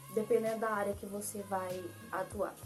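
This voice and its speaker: Music plays behind a woman's voice. She talks at a fairly slow pace. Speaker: graphic designer, tutorial youtuber. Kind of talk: tutorial.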